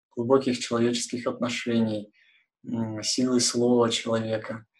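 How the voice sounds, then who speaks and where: The pace is fairly slow as a man talks. His intonation stays flat and monotone. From Kurgan, Urals. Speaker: research engineer. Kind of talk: live online discussion. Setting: video call.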